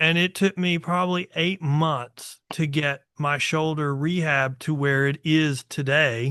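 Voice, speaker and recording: Speaking at a fairly slow pace with hardly any pauses, a man keeps very even loudness and fairly even intonation in a bright, sharp tone. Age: 60s. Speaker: podcast host. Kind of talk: casual chat. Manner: halting.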